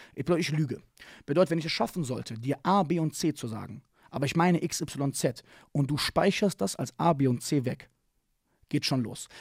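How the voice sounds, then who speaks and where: The voice sounds animated and somewhat breathy, recorded dry with no echo against a quiet background. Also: man. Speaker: martial arts coach and speaker; martial arts coach, speaker. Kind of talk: casual interview chat. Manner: animated, slangy. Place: studio. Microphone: studio mic.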